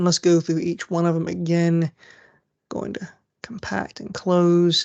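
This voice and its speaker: A woman with a normal speaking voice and fairly low pitch talks with fairly even intonation and big swings in loudness, in a dry, close sound with no echo. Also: fairly slow pace. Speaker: college instructor. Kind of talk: lecture.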